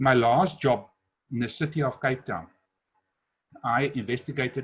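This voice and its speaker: His voice comes out somewhat breathy. The man's pitch varies in an ordinary way. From South Africa. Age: 60s. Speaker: entrepreneur and business speaker. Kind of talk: webinar talk.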